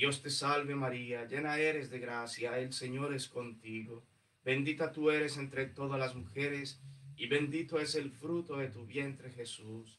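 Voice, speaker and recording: This man's voice sits at a fairly high pitch. He talks at a fairly slow pace with fairly even intonation. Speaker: priest. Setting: church. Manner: solemn, pleading, fervent, reverent cadence with rhythmic repeated invocations. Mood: solemn, devotional. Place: church. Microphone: camera far.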